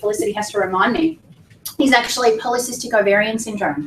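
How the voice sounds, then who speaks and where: A woman speaks at a fairly quick pace with a fairly high pitch and ordinary pitch variation. Noticeable background noise runs underneath. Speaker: weight loss clinic staff presenter. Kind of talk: information seminar presentation. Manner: fast; animated.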